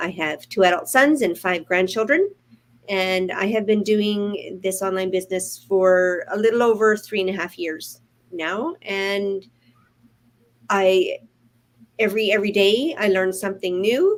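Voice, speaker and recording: With a Canadian accent, a woman speaks at a fairly slow pace in an ordinary speaking voice, at a medium pitch with ordinary pitch variation. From Prince George, British Columbia, Canada. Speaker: online entrepreneur. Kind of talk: casual chat.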